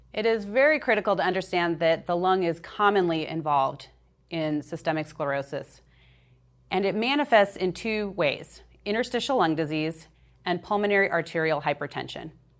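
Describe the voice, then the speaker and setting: In an ordinary speaking voice, a woman with a fairly low pitch talks at a moderate pace with lively intonation against a quiet background. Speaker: pulmonologist presenter. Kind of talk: medical lecture presentation.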